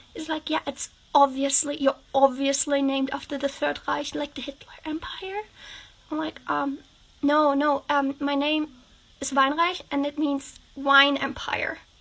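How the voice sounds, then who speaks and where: A woman with a high pitch talks at a fairly slow pace in a monotone, flat intonation. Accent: German. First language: German. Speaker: TikTok creator. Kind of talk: storytime monologue.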